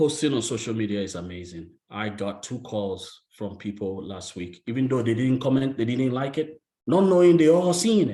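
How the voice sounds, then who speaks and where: A man with an African accent speaks with big swings in loudness and very wide pitch swings, his tone dark and mellow and his delivery hardly pausing at all. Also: medium pitch for a man, moderate pace. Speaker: real estate agent and solar salesperson. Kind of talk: motivational talk on a group video call. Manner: emphatic, repetitive.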